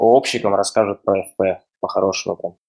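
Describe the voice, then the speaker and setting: This man talks at a moderate pace. The sound is dry and close, with no echo. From Russia. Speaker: software developer. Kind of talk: casual chat.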